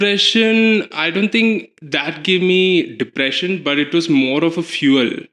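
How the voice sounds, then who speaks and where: Speaking with a Kerala accent, a man uses a high pitch, lively intonation and very even loudness at a fairly slow pace. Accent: Malayali. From Kerala, India (Cochin). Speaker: drag performer. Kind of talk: interview.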